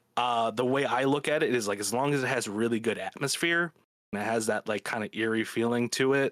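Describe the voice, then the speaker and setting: Recorded with a dry, close sound and no echo, a man speaks at a fairly quick pace with medium pitch and ordinary pitch variation. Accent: American. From Chicago. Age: 20s. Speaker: podcaster. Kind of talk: casual chat.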